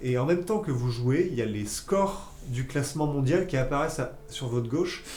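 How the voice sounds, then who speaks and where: A man at a moderate pace with lively intonation, amid audible room echo and noticeable background noise. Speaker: gaming livestream host. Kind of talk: casual chat. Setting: live stream.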